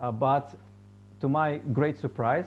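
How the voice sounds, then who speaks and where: The speaker is a man. His voice has vocal fry. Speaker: musician and meditation teacher. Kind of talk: storytelling talk. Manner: halting.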